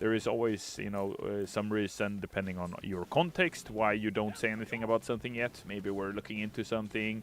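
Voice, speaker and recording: A man with a non-native accent speaks at a fairly quick pace in a fairly low pitch, on a very clean recording with a silent background. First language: not English. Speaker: game community manager streaming gameplay. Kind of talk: casual livestream chat answering viewer questions. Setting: livestream with green screen.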